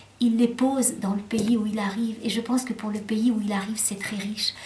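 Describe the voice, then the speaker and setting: Noticeable background noise runs under a woman whose fairly high voice stays monotone and flat at a moderate pace. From Lebanon, French-speaking home, moved to France at 12. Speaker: children's book author. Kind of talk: interview. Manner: hesitant, many fillers.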